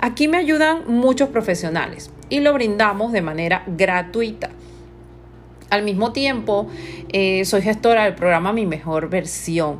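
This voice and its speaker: A woman speaks at a medium pitch and a fairly slow pace, with an unremarkable speaking voice. Her intonation is lively. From Panama. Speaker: image consultant. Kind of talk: podcast monologue.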